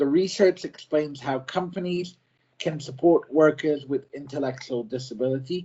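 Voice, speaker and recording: Moderate pacing and a somewhat breathy quality, plus pitch that varies in an ordinary way. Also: man, fairly high pitch for a man. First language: not French. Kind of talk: prepared presentation. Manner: halting.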